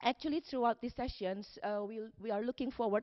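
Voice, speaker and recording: A woman with a non-native accent, fairly high pitch and ordinary pitch variation. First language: not English. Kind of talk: conference panel talk. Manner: halting.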